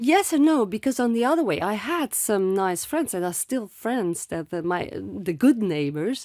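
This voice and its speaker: In a very clean recording with a silent background, a woman with a French accent speaks at a moderate pace and medium pitch, with very wide pitch swings and hardly any pauses. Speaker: author and former actress. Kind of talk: interview testimony. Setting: studio. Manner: halting.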